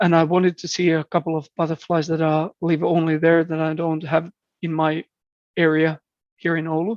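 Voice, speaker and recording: With a Finnish accent, a man speaks in a monotone at a fairly high pitch, the sound dry and close with no echo. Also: moderate pace. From southeastern Finland. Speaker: birder and entomologist. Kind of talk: podcast interview. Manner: halting, frequent repetitions.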